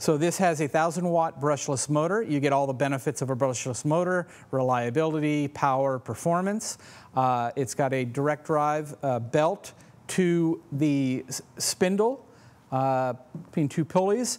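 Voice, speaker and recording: Keeping a very even loudness, a man talks at a fairly slow pace with ordinary pitch variation. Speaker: presenter. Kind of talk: product walkthrough. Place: shop. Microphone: lapel.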